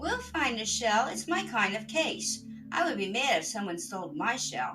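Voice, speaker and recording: Over clear background noise, a woman puts on a character voice with a fairly high pitch at a moderate pace. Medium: read story. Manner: joking, upbeat.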